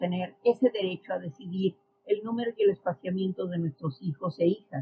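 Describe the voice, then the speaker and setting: At a moderate pace, a woman with a medium pitch speaks somewhat breathily and with lively intonation. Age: 60s. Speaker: social science expert. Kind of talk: podcast interview.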